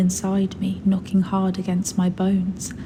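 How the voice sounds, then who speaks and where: A soft-spoken woman with a British accent speaks in a soothing tone at a fairly slow pace and medium pitch. Noticeable background noise runs under her voice. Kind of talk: sleep story. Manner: soft-spoken, soothing.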